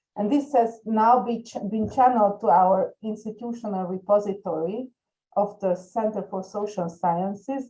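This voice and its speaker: A woman's dark, mellow, somewhat breathy voice at medium pitch, with ordinary pitch variation and a moderate pace. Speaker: research data repository head and sociologist. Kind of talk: panel discussion. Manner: halting, many repetitions and fillers.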